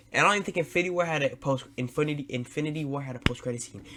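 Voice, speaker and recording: A man's fairly high voice with ordinary pitch variation, over noticeable background noise. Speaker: streamer reacting to videos. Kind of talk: reaction commentary. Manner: loud; animated.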